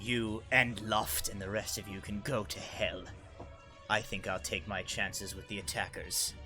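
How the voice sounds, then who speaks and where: A man's put-on character voice with a fairly low pitch, over clear music in the background. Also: moderate pace. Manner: sneering, defiant.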